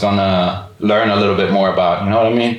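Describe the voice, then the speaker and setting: With a German accent, the speaker talks at a moderate pace over noticeable background noise, and the room echo is audible. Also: man. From Germany, Frankfurt. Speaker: physical therapist and podcast co-host. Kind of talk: casual chat. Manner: many fillers, casual.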